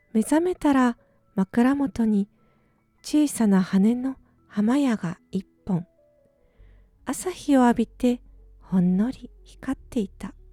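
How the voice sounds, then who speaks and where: A woman speaks in a high voice with a calm, gentle tone, at a very slow pace with long, frequent pauses. Music plays in the background of the dry, close sound with no echo. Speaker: musician. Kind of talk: bedtime short story reading.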